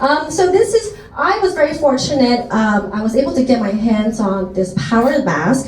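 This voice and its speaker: A woman speaks with an American accent. Noticeable background noise and audible room echo surround her voice. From Taiwan, then United States from age 10. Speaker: skincare sales presenter. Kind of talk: product presentation. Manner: loud.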